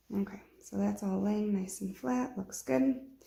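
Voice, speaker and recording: Somewhat breathy, the voice moves at a fairly slow pace. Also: woman. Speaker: sewing tutorial creator. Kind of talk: tutorial. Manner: quiet, subdued; casual, conversational.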